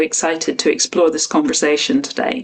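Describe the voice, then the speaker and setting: A woman speaks with a Northern Irish accent. Noticeable background noise can be heard. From Northern Ireland. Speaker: podcast host. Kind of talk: interview.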